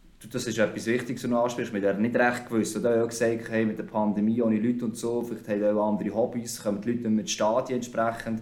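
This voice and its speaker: Someone with a Swiss accent talks at a very fast pace with hardly any pauses and monotone, flat intonation. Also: man, medium pitch for a man. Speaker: hockey commentator. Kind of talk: podcast interview.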